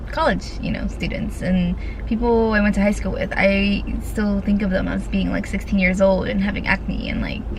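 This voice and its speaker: A woman talks at a moderate pace. Room echo is audible and background noise is noticeable. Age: 20s. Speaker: vlogger. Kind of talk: casual chat. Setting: in a car. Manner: whispering.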